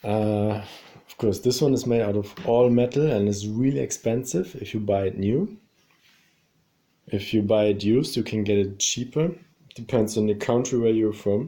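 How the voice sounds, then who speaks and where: Speaking at a moderate pace, a man with a non-native accent has a fairly low pitch and a dark, mellow tone. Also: ordinary pitch variation. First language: not English. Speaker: YouTuber reviewing his chair. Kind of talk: casual product review. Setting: at home in his apartment. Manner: hesitant, many fillers.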